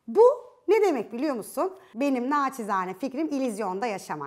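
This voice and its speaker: A woman speaks in an animated tone at a high pitch. Her pace is moderate and the background is quiet. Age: 30s. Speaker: lifestyle video host. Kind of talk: video monologue on relationships. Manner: animated, conversational. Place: studio. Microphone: lapel.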